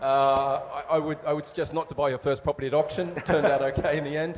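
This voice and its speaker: Speaking with an Australian accent, a man goes at a fairly quick pace in a monotone, flat intonation. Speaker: property developer. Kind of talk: investment pitch. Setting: stage with audience. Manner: hesitant, many fillers.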